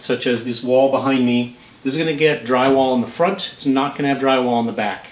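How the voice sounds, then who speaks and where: A man at a fairly quick pace with ordinary pitch variation and audible room echo. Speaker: home renovation vlogger. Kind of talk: tutorial. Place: home room. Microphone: camera far.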